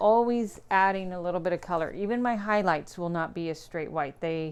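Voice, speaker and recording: A woman mumbling, her intonation lively. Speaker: painter and art teacher. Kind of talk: live painting demo. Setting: Instagram live stream. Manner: quiet, soft-spoken.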